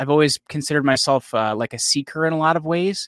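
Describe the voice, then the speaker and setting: With a plain, everyday voice, a man talks at a fairly quick pace with lively intonation and a fairly high pitch, the sound dry and close with no echo. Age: 30s. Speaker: podcast host and company CEO, former powerlifter. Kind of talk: interview.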